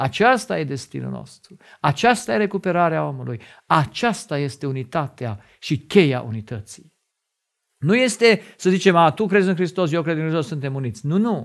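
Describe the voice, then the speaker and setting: Against a quiet background, a man with a fairly high voice swings his pitch very widely. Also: moderate pace. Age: 50s. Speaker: lay preacher and doctor; religious teacher. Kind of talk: sermon. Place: studio. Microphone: lapel.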